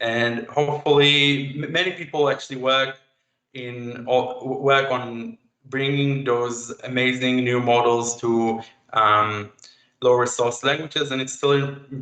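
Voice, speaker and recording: Speaking fairly slowly with an Israeli accent, a man keeps a medium pitch and fairly even intonation. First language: Hebrew. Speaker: AI researcher, chatbot developer. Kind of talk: tech talk and Q&A. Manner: halting.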